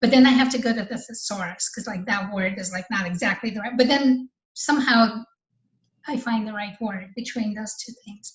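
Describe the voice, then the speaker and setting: In a Russian accent, a woman talks at a moderate pace in a fairly high, somewhat breathy voice, with ordinary pitch variation and big swings in loudness. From Russia, moved to US when young. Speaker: novelist and artist. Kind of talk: interview. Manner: casual, hesitant with repetitions.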